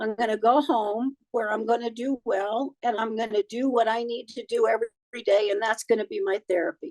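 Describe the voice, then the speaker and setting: A woman speaks in a plain, everyday voice, fairly high in pitch with ordinary pitch variation. Her pace is fairly quick, and the sound is dry and close with no echo. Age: 60s. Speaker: cancer patient. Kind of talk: interview.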